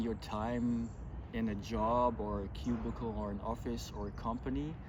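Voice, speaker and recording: A man with a strong German accent speaks at a fairly slow pace. Audible room echo surrounds his voice. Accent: thick German. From Germany. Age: 40s. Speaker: vlogger, pilgrim. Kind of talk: casual vlog talk to camera. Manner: hesitant, many fillers.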